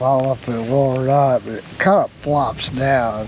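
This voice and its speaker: Over noticeable background noise, the speaker goes at a fairly slow pace. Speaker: boat mechanic. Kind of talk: tutorial. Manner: halting; casual, thinking aloud.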